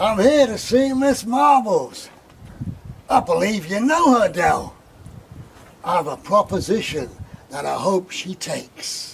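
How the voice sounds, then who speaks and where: A man puts on a cartoonish character voice with a Southern US accent, drawling at a fairly slow pace with a high pitch. His pitch swings very widely, his loudness jumps a lot, and he takes long, frequent pauses. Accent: American southern drawl. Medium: short film. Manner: drawling, affable.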